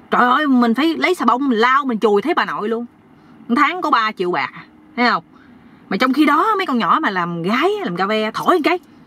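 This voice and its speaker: Recorded with a dry sound and no echo, a woman talks at a moderate pace in a high pitch. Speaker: vlogger. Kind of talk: casual vlog chat. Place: car. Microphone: phone near.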